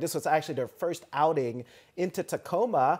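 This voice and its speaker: This man talks at a moderate pace with ordinary pitch variation. Behind him the background stays quiet. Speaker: guest. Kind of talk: interview answer. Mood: cheerful, smiling. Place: studio.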